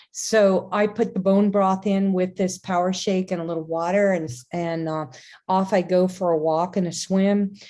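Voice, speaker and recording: This voice has a dark, mellow tone and a monotone, flat intonation, moving at a moderate pace. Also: woman, medium pitch for a woman. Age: 60s. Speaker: podcast host and wellness teacher. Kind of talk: casual chat. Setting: video call. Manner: halting.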